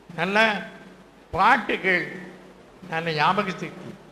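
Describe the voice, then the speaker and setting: Noticeable background noise behind a man's voice. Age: 80s+. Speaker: retired English teacher. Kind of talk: reunion speech to former students. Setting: public hall.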